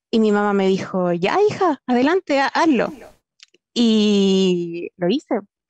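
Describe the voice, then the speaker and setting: Very slowly and with lively intonation, a woman talks at very even loudness against a quiet background, the sound dry with no echo. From southern Chile, Temuco; Chile. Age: 20s. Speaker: software engineer. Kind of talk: personal story talk; online panel talk, personal story. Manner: halting, many fillers. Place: home room. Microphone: headset.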